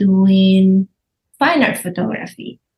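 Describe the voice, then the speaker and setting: A somewhat breathy woman's voice with a Spanish accent. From Argentina, Buenos Aires. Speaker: visual artist. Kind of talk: interview. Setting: podcast.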